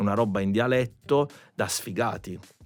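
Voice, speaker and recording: A man talks at a medium pitch with ordinary pitch variation and a plain, everyday voice. The recording is very clean, with a silent background. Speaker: musician. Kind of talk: podcast conversation.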